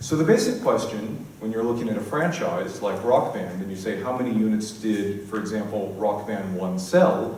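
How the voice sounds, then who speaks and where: A man with an American accent speaks at a moderate pace in a fairly low voice with lively intonation and hardly any pauses, with audible room echo and noticeable background noise behind him. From US West Coast, San Diego. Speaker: conference speaker, games industry analyst. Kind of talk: conference talk.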